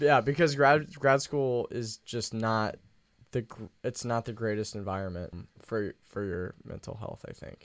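An ordinary speaking voice at a fairly slow pace, with ordinary pitch variation, big swings in loudness, and a very clean recording over a silent background. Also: man, medium pitch for a man. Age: 20s. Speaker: podcast co-host. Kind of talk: casual chat.

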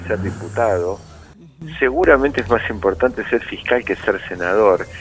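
A man speaks at a moderate pace in a medium pitch, with ordinary pitch variation and a normal speaking voice. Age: 60s. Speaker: political prisoner, former official. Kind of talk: phone interview.

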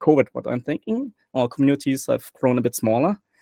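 With a German accent, the speaker goes at a fairly quick pace with ordinary pitch variation, and the sound is dry and close with no echo. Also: man. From Germany. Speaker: guest player and community moderator. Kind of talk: casual interview chat. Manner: jokey, positive.

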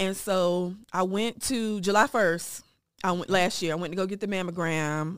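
In a very clean recording with a silent background, the speaker has a plain, everyday voice. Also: woman. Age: 30s. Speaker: breast cancer survivor. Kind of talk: personal testimony.

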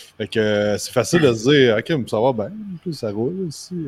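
A man's medium-pitched voice in a Quebec accent. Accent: Québécois French. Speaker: personal trainer, business owner. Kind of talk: casual interview. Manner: halting.

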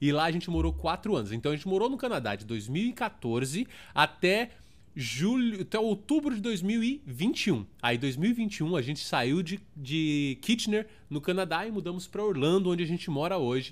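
A man with a São Paulo accent speaks at a moderate pace in a high, animated voice with very wide pitch swings, on a very clean recording with a silent background. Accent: Paulistano Brazilian Portuguese. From Brazil, São Paulo (Zona Sul). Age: 30s. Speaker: podcast host. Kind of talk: casual monologue.

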